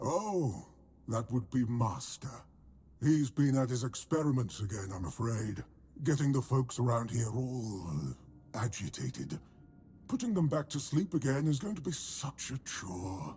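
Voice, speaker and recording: A man puts on a character voice at a medium pitch. He leaves long, frequent pauses. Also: moderate pace. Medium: video game. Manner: chatty, fussy about manners.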